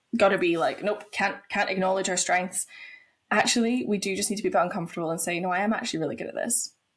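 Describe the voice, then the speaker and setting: At a very fast pace, a somewhat breathy woman speaks with medium pitch and fairly even intonation in a very clean recording with a silent background. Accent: Scottish. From Scotland. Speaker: pole fitness instructor. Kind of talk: podcast interview.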